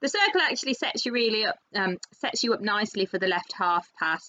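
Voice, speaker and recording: Her pitch sits fairly high and her intonation is lively. The woman talks at a very fast pace. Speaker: dressage rider and vlogger. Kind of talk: voiceover commentary on a competition video.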